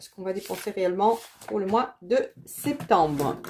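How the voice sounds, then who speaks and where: Her voice is medium in pitch, with a dark, mellow tone. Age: 40s. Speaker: budgeting vlogger. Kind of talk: casual vlog tutorial. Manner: hesitant, many fillers.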